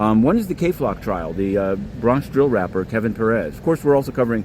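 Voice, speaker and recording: A man's voice at a medium pitch, very fast in pace. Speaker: independent court reporter. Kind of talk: walking vlog update. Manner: halting with repetitions.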